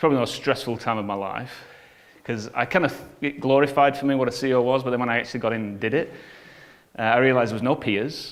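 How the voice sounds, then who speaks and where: In an English accent, a man with a medium-pitched voice speaks very fast with fairly even intonation. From northern England (Bolton). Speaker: business coach and entrepreneur. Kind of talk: conference talk.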